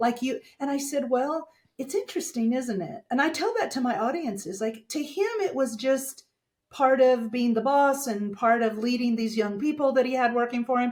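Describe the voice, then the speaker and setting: Her high voice carries an American accent, a woman speaking with ordinary pitch variation. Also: moderate pace. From Texas, small town. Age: 60s. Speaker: dental communication speaker and coach. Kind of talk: podcast interview.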